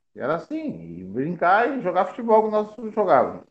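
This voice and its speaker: At a moderate pace, a man talks with a Rio Grande do Sul accent. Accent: southern Brazilian gaúcho Portuguese. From Rio Grande do Sul, Brazil (Piratini). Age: 50s. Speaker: former amateur football player. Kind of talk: interview, life story.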